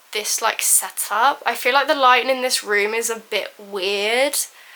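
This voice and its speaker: Noticeable background noise runs under this recording. A woman speaks in a high pitch. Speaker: booktuber. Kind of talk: casual vlog book haul. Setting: home filming room. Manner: fast; animated.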